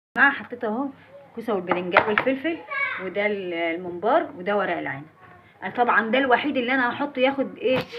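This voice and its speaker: Over noticeable background noise, a woman with a fairly high pitch talks at a fairly quick pace with lively intonation. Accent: Egyptian. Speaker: home cooking vlogger. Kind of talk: cooking tutorial. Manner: loud.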